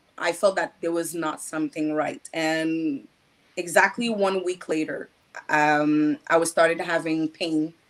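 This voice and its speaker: Her pitch fairly low and her intonation fairly even, a woman talks at a fairly slow pace. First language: French. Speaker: patient advocate. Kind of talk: interview testimony. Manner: halting.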